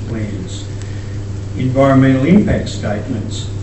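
With an Australian accent, a man speaks at a moderate pace amid noticeable background noise and audible room echo. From Queensland, Australia. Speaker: farmer. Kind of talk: conference talk. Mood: earnest, concerned. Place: hall. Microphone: camera far.

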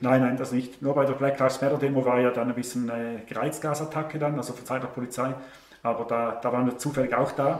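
In a Swiss accent, a man speaks very fast with monotone, flat intonation amid audible room echo. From Switzerland. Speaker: online show host; interview guest, show host. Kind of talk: interview answer. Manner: sarcastic, humorous. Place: home room.

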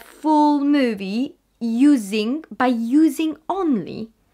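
High-pitched, lively intonation from a woman against a quiet background. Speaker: actress vlogger. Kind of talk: casual vlog chat. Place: home room. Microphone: webcam.

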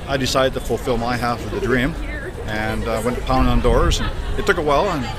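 Loud background noise surrounds a man talking at a very fast pace. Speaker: automotive service technician. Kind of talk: interview answer. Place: street. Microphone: phone near.

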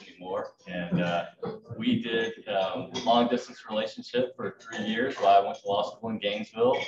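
A man speaking at a moderate pace amid noticeable background noise. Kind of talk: club talk about his background. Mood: light, joking. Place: hall. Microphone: podium.

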